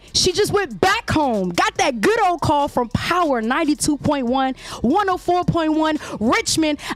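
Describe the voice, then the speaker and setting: A woman speaks at a fairly slow pace in a high, animated voice with very wide pitch swings and very even loudness, over noticeable background noise. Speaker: podcast host. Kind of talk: casual chat.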